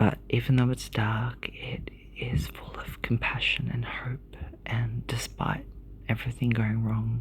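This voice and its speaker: Over noticeable background noise, a woman with an Australian accent speaks at a fairly slow pace with big swings in loudness. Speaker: ASMR creator. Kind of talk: ASMR book show-and-tell. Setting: hotel room. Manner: soft-spoken.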